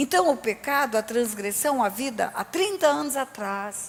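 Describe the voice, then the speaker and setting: High-pitched female voice at a fairly slow pace, with ordinary pitch variation. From Brazil, Resende (Rio de Janeiro state). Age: 60s. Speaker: pastor. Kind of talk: sermon. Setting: church.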